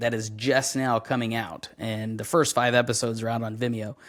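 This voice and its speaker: On a very clean recording with a silent background, the speech moves at a moderate pace. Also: man. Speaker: voice actor. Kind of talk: casual chat.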